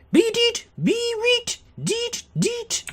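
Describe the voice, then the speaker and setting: An extremely high, put-on character voice. It sounds robotic. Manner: robotic beeping.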